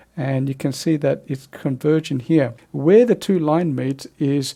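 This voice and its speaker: Speaking at a moderate pace, a man with a fairly high pitch and a dark, mellow tone shows ordinary pitch variation. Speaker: photoshop tutorial presenter. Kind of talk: tutorial.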